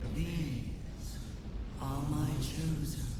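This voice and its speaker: Someone performs in a put-on character voice. Loud background noise and strong echo fill the recording. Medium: machinima. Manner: commanding, menacing.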